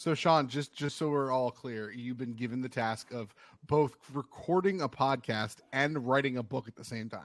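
A man with a plain, everyday voice speaks at a medium pitch and a moderate pace. His loudness swings widely. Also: ordinary pitch variation, very clean recording, silent background. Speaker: podcast host. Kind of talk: casual chat.

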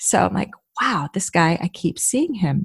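A woman speaks in a somewhat breathy voice with a North Jersey accent, her pitch swinging very widely. The sound is dry and close, with no echo. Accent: North Jersey American. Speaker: actor. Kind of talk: interview.

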